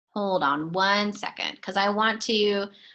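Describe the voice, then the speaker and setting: A woman talks at a fairly slow pace. Her pitch sits at a medium level. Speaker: life design coach. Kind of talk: webinar sales pitch. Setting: online webinar. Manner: halting, many fillers.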